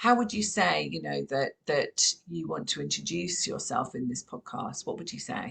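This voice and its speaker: At a moderate pace, a woman speaks in a southern English accent. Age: 50s. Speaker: podcast host. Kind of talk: casual interview.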